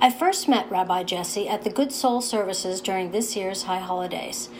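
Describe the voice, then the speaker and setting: At a moderate pace and with ordinary pitch variation, a woman speaks over noticeable background noise. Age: 60s. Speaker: podcast host and writer. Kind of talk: interview conversation. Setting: guest's office.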